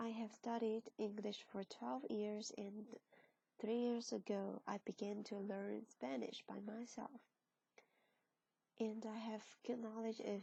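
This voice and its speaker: Speaking with a Chinese accent, a woman uses a fairly high pitch and a dark, mellow, somewhat breathy tone, leaving long, frequent pauses. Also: ordinary pitch variation, fairly slow pace. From China. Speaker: translation student. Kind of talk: class presentation. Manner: halting.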